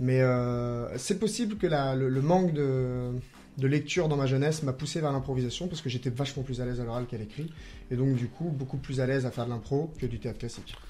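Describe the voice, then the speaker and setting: A somewhat breathy man with a dark, mellow tone, ordinary pitch variation and a fairly quick pace. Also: medium pitch for a man. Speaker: improv comedian; primary school teacher. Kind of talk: radio interview answer.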